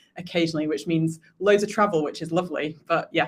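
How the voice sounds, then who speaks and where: A woman speaks in a British accent at a fairly low pitch. Her intonation is monotone and flat. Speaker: tech company executive. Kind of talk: podcast interview.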